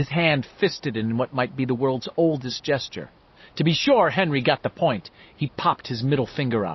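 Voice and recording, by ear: Natural read-aloud delivery, pitch moving in an ordinary way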